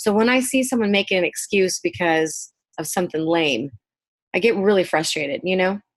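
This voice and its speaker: A woman talks in a normal speaking voice with an American accent. Her medium pitch carries lively intonation at a fairly quick pace. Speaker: hairdresser and salon owner. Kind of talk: podcast interview.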